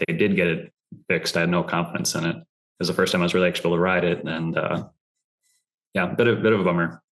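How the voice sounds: A man talks with a low pitch and a fairly bright tone. There is little pitch movement.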